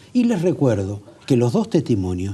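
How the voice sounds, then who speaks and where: A dark, mellow, somewhat breathy tone at a fairly slow pace. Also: man. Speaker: TV interviewer. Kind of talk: TV interview.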